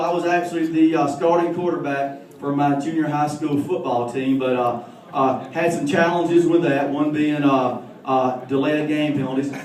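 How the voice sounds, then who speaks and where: A man with a Southern US accent speaks at a moderate pace with hardly any pauses and ordinary pitch variation, over noticeable background noise and audible room echo. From US South, Alabama. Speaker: comedian. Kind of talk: stand-up.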